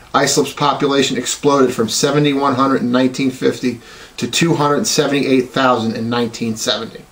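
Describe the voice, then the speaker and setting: A man at a very fast pace and medium pitch, fairly even in intonation, against noticeable background noise. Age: 40s. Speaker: police officer and college student. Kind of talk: class speech. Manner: formal.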